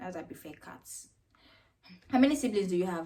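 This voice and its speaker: In a Nigerian accent, a woman speaks with a dark, mellow tone at a fairly low pitch. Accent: Nigerian accent, described as weird. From Nigeria (Jos, Plateau State). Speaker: YouTuber. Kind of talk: casual vlog Q&A. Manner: casual, chatty.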